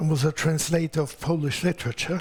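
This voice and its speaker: A man speaks with an Austrian accent at a moderate pace. His pitch is fairly high. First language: German. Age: 80s+. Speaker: author and lecturer. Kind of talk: lecture; formal speech. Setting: stage with audience.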